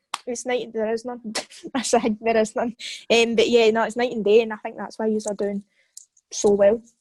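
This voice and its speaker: With a Scottish accent, a woman with a fairly high pitch speaks in a monotone, flat intonation at a moderate pace, leaving long, frequent pauses. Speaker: football podcast co-host, fan. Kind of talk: casual chat.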